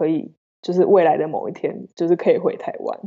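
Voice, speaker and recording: A woman is speaking. Her pitch is medium. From Taiwan. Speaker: wine export manager. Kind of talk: interview.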